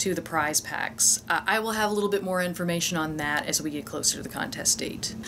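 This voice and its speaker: The speaker's pitch varies in an ordinary way over noticeable background noise. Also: woman. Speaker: guest vlogger promoting a webcomic giveaway. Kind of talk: casual vlog chat. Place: home room.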